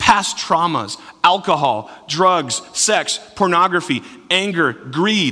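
The intonation here stays fairly even. It is an unforced reading voice.

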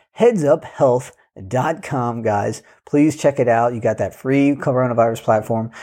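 A man speaks with a dark, mellow tone at medium pitch. His pitch varies in an ordinary way. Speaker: podcast co-host. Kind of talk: podcast intro and outro. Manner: filler-heavy, casual.

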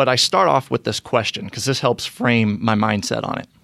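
In a Midwestern American accent, a man talks at a moderate pace. His pitch is medium, with ordinary pitch variation. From Indiana (Brownsburg, west of Indianapolis). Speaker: mayoral candidate. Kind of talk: interview. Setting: studio.

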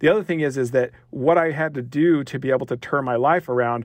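Fairly quick and fairly high-pitched, a man speaks with a western US accent. His pitch variation is ordinary, and the background is quiet. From rural Utah, US. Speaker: education researcher and former professor. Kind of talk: interview.

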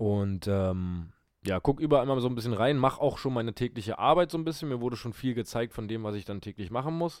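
On a very clean recording with a silent background, a man of medium pitch talks very fast with lively intonation. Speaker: podcast co-host. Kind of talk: casual chat.

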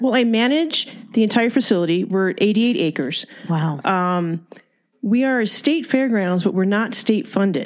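Using an ordinary speaking voice, a woman with an American accent speaks at a fairly slow pace and fairly high pitch, with lively intonation and very even loudness. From California, Ventura County (Fillmore). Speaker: fairgrounds CEO. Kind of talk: interview, casual chat.

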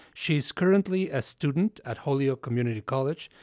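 With an ordinary speaking voice, a man of medium pitch uses lively intonation at a moderate pace, in a dry, close sound with no echo against a quiet background. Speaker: radio host. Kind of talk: radio interview program. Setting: studio.

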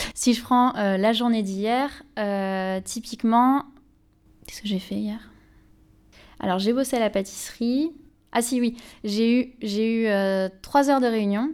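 The delivery is at a fairly slow pace. The recording is very clean, with a silent background. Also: woman. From Béarn, southwestern France. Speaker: PhD student in developmental psychology. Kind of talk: interview. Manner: hesitant, with fillers and repetitions.

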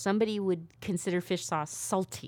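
In a very clean recording with a silent background, a woman with an unremarkable speaking voice talks at a moderate pace and a medium pitch. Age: 30s. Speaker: radio host. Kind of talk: casual chat. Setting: studio.

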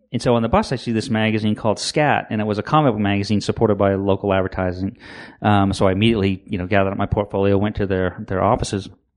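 A man with an American accent talks at a very fast pace. His intonation is fairly even, and the background is quiet. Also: fairly low pitch for a man. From Maine, US. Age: 50s. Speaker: comic book creator. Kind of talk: interview.

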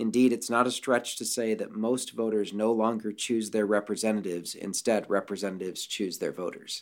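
Fairly low in pitch, a man talks at a fairly quick pace with hardly any pauses and fairly even intonation, in a plain, everyday voice. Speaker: mathematics department chair. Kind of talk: interview explanation.

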